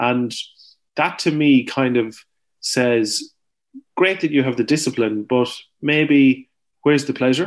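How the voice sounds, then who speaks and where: A man with an Irish accent talks at a medium pitch and a fairly slow pace, with ordinary pitch variation and long, frequent pauses. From Ireland, County Longford. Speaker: farmer and author. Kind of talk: interview. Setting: remote call from farm.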